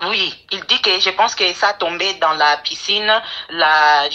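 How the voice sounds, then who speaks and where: Her voice sits fairly low for a woman, and its pitch varies in an ordinary way. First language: English (speaking French). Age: 20s. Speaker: caller. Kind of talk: phone-in call. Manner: halting.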